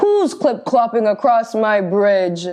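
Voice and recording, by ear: Reading aloud in a natural voice, the speaker uses lively intonation.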